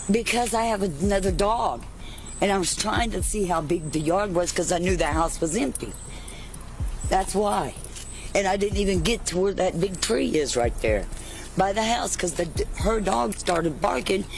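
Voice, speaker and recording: Moderate pace, long and frequent pauses, very even loudness, music in the background, and audible room echo. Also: woman, medium pitch for a woman, ordinary pitch variation. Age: 60s. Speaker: elderly woman detained by police. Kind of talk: heated argument with police.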